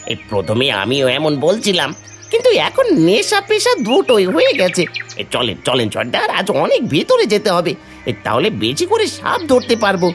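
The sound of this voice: A cartoonish character voice speaks at a moderate pace. Clear music plays in the background.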